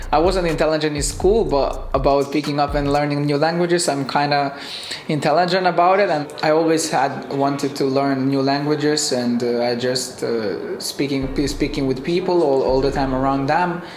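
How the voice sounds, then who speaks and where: A man talks at a moderate pace with fairly even intonation and hardly any pauses. The room has audible echo, and noticeable background noise is present. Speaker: professional footballer. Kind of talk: interview. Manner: halting.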